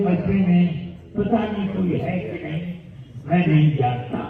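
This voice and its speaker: A man's high-pitched voice with ordinary pitch variation, audible room echo and noticeable background noise. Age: 80s+. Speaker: religious scholar. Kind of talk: sermon.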